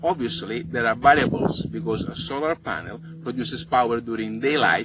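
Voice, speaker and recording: A man with an Italian accent talks over noticeable background noise. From Italy. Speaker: overlander and travel vlogger. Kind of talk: tutorial.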